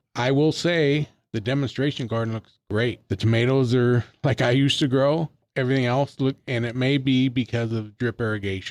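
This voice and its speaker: A man's ordinary speaking voice, medium in pitch, with fairly even intonation, a moderate pace and a dry, close sound with no echo. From Northern California, Colusa County. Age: 60s. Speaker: master gardener. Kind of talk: casual chat.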